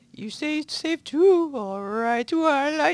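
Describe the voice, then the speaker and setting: Speaking very slowly, a man uses a squeaky put-on character voice at an extremely high pitch. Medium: read story. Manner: nervous, prim.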